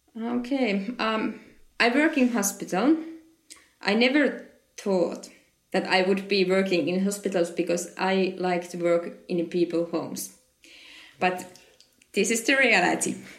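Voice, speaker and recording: A woman with a Finnish accent talks at a fairly slow pace with long, frequent pauses and ordinary pitch variation, her voice carrying audible room echo. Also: medium pitch for a woman. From Finland. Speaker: occupational therapist. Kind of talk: interview. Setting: conference. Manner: halting.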